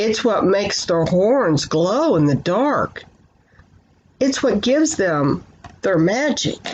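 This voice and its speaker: A woman uses a put-on character voice at a medium pitch. She goes at a fairly slow pace with long, frequent pauses. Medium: read story. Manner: gentle, warm.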